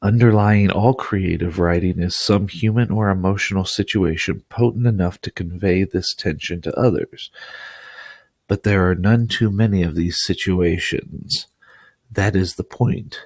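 A man with an ordinary speaking voice talks fairly slowly at a fairly low pitch, his intonation fairly even, in a dry, close sound with no echo. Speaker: audiobook narrator. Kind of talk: literary audiobook reading, scripted narration of an essay. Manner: measured, formal, even-paced delivery.

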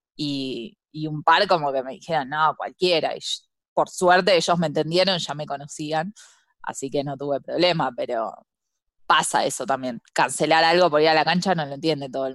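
In a Buenos Aires accent, a woman with a very deep, low voice talks at a moderate pace with ordinary pitch variation and big swings in loudness against a quiet background. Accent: Rioplatense Spanish (Buenos Aires). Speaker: podcast co-host. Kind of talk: casual chat.

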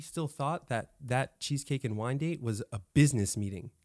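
A man with an American accent speaks at a moderate pace, in a plain, everyday voice with lively intonation. The sound is dry and close, with no echo. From California. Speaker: Airbnb business owner. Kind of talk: casual interview.

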